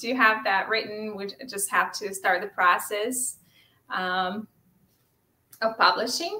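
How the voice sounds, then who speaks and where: A woman's fairly high, bright, sharp voice at a very slow pace with long, frequent pauses. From Ukraine. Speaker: author; guest. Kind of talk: interview. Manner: halting, many fillers. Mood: warm, smiling. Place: home room.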